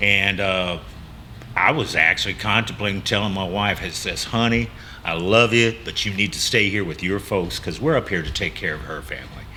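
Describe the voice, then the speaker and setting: A fairly low-pitched man with a Texas accent and ordinary pitch variation, over noticeable background noise. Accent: Texas drawl. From Texas Gulf Coast. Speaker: coffee shop owner. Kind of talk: interview. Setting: on location in coffee shop. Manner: halting, many fillers.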